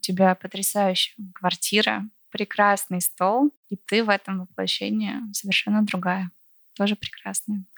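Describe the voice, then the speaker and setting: Delivered at a fairly slow pace, a woman's voice sits at medium pitch with monotone, flat intonation. The sound is dry and close, with no echo. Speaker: podcast host. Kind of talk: interview conversation. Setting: at guest's home.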